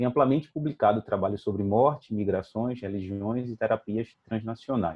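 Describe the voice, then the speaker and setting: A man with an ordinary speaking voice at medium pitch talks at a moderate pace with ordinary pitch variation and hardly any pauses. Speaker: anthropologist, event moderator. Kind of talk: formal introduction of a speaker.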